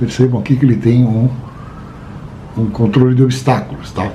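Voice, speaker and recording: Room echo is audible as a man talks in a relaxed tone. Noticeable background noise runs underneath. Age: 60s. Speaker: drone hobbyist vlogger. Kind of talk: casual show-and-tell vlog. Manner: relaxed, conversational with filler words.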